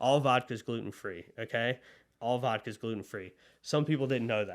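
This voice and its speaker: A man in a Southern US accent talks at a fairly quick pace on a very clean recording with a silent background. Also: medium pitch for a man, ordinary pitch variation. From US South (Monroe, Louisiana). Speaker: agency co-founder. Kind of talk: podcast interview.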